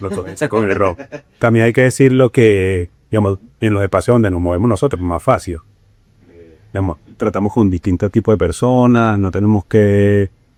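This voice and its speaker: A man at a fairly quick pace, fairly low in pitch, with ordinary pitch variation and a dry, close sound with no echo. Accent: Venezuelan. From Venezuela. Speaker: bookseller. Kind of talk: podcast interview.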